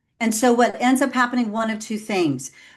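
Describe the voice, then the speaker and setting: A woman speaks with a Texan accent. The background is quiet. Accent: Texan American English. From Texas. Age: 50s. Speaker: executive coach. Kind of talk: podcast interview.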